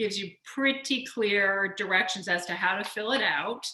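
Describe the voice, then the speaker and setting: In a room with audible echo, a woman talks at a moderate pace in a fairly high pitch. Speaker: board chair. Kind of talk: board meeting.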